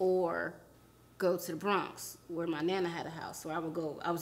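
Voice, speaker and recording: Here a woman speaks with a New York accent. Her pitch is fairly low and her intonation fairly even. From New York area. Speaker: podcast co-host. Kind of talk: casual chat. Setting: studio.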